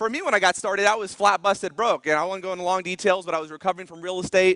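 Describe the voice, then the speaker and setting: A man's raised, projected voice, high in pitch with a bright, sharp tone. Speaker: motivational business speaker. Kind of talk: stage talk. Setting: stage with audience. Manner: fast; animated.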